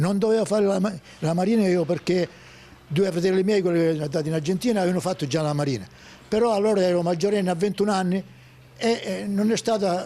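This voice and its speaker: Delivered at a very fast pace yet with long, frequent pauses, the dark, mellow voice holds very even loudness and ordinary pitch variation. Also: man, high pitch for a man. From Sicily, Oliveri (Messina). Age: 80s+. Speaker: retired fisherman. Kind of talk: interview storytelling. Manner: halting, repetitive.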